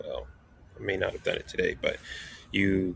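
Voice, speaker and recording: This is a man's voice. The sound is dry and close, with no echo. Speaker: math instructor. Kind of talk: tutorial. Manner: fast.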